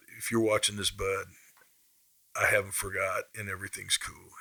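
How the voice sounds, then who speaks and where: In a Midwestern US accent, a man speaks at a moderate pace. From Kansas (Topeka). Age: 50s. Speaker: blues musician. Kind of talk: interview storytelling.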